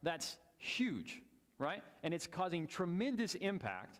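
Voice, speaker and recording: A man speaks with lively intonation. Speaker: Bible class teacher. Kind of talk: Bible class lecture with discussion. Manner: fast.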